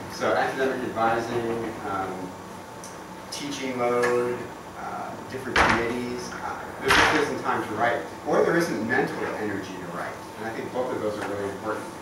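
Against loud background noise and audible room echo, a man talks at a moderate pace with ordinary pitch variation. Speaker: university professor presenting. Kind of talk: informal talk to colleagues. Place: meeting room. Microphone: camera far.

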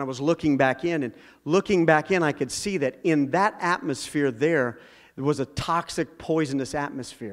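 This man speaks at a moderate pace. His pitch variation is ordinary. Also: quiet background. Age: 40s. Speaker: preacher. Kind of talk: sermon. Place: church. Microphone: handheld.

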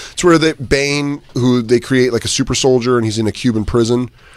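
A man with an ordinary speaking voice talks at a fairly quick pace with ordinary pitch variation, the sound dry with no echo over a quiet background. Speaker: radio host. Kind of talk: casual chat. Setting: studio. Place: studio.

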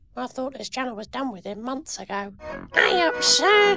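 Faint music plays in the background. Over it comes a cartoonish character voice at a fairly high pitch. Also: moderate pace. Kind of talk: comic amateur voice acting. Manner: casual, bemused, chatty.

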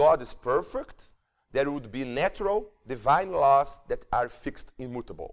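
A man with a Portuguese accent speaks at a fairly slow pace. The background is quiet. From Brazil. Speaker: psychiatry professor; professor lecturer. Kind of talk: lecture. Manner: halting. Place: hall. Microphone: handheld.

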